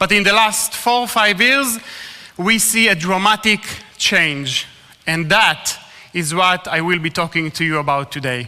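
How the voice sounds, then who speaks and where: A man with an Israeli accent speaks at a fairly slow pace in a high voice with lively intonation. He takes long, frequent pauses. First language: Hebrew. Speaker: ministry speaker. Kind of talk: talk to a live audience.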